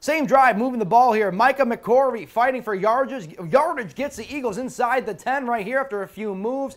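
This man talks in an extremely high voice at a fairly quick pace, with hardly any pauses. His tone is energetic, and the background is quiet. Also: ordinary pitch variation. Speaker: sports reporter. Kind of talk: sports commentary narrating game highlights. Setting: TV studio. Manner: energetic, brisk play-by-play. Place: studio.

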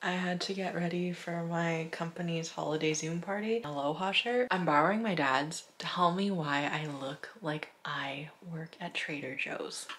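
A woman speaks with a fairly low pitch and a fairly bright tone, her intonation fairly even and her delivery marked by few pauses. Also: moderate pace.

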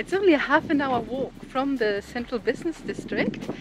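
A woman's lively intonation amid noticeable background noise, in a dry sound with no echo. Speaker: travel vlogger. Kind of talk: casual vlog chat. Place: open country. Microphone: phone near.

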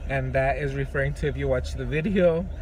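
Dry, echo-free man's voice amid noticeable background noise. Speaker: vlogger. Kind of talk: casual vlog chat. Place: car. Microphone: phone near.

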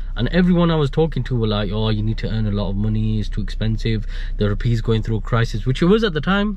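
The man talks at a very fast pace, with a dry sound with no echo. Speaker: vlogger. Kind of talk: casual vlog chat. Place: car. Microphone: phone near.

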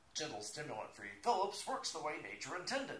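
A man speaks at a very fast pace, his pitch swinging very widely. Music plays in the background, and audible room echo surrounds him. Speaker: aspiring game show announcer. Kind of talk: TV commercial read. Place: home room. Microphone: phone near.

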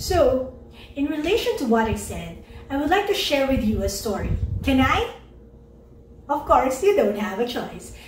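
A woman's high-pitched voice at a moderate pace, with long, frequent pauses and audible room echo. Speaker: speaker. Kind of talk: inspirational talk to online audience.

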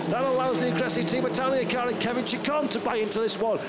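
Over noticeable background noise, a man with an extremely high pitch speaks at a very fast pace in an animated, excited tone. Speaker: race commentator. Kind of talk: live race commentary. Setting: motorsport race broadcast voiceover. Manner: fast, excited play-by-play; animated, punchy, rising with the action.

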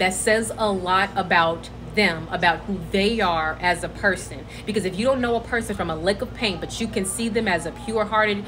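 Noticeable background noise surrounds a woman speaking at a moderate pace with fairly even intonation. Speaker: social media creator. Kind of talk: casual vlog chat. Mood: earnest, reflective. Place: home room. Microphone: phone near.

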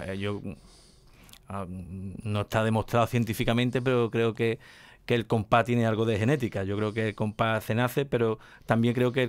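Speaking at a fairly slow pace, a man uses ordinary pitch variation. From El Puerto de Santa María, Andalusia, Spain; Andalusia, Spain. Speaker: radio host of a flamenco programme. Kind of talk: radio interview. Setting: radio studio, filmed. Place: studio. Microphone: studio mic.

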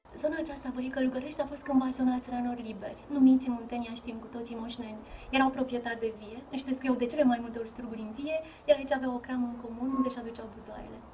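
A woman's high voice at a very fast pace, monotone and flat, over light background noise. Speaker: archaeologist museum guide. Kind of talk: guided tour presentation.

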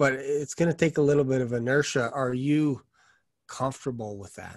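The voice moves at a moderate pace in a flat monotone, with a quiet background and a dry sound with no echo. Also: man. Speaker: sales coach. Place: home room. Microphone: studio mic.

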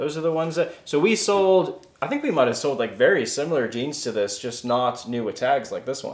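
Fairly high-pitched and lively in intonation, a man talks at a fairly quick pace with hardly any pauses as room echo is audible around him. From South Africa. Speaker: YouTube reseller, channel co-host. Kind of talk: casual unboxing chat. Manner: playful, jokey. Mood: excited, upbeat. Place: home room.

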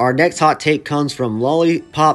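A man talks at a moderate pace. Behind his voice, music is playing. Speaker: YouTuber reacting to fan comments. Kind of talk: casual reaction commentary. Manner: stuttering today; halting, many fillers.

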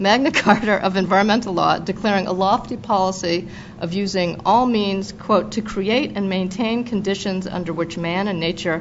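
A woman's medium-pitched voice at a moderate pace with fairly even intonation, against noticeable background noise. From Boston.

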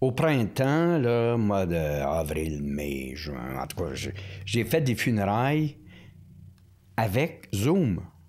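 This man's voice moves through very wide pitch swings. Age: 60s. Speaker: priest, former prison chaplain. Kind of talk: casual interview chat. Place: studio. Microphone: studio mic.

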